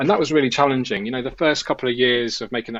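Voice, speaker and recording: A man speaks at a medium pitch. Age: 40s. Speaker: aquascaper, former military. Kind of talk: casual chat. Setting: video call.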